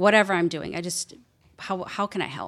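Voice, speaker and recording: A woman with a Midwestern US accent talks at a moderate pace. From Wisconsin, US Midwest. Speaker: business owner. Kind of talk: interview, casual chat. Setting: studio.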